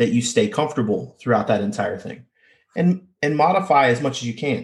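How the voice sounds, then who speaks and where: A somewhat breathy man speaks at a moderate pace with lively intonation. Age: 30s. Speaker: powerlifter and athletic trainer. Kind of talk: interview.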